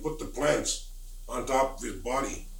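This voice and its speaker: A man's voice with noticeable background noise. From Lummi Nation, Washington State. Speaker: Lummi spiritual elder and storyteller. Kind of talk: traditional oral storytelling.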